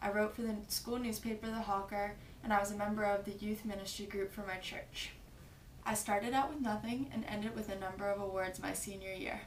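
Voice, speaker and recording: A woman speaks at a fairly quick pace with an American accent, her pitch fairly high. Noticeable background noise and audible room echo fill the recording. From New Jersey (Westmont). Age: 20s. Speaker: college student. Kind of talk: application video monologue. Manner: formal.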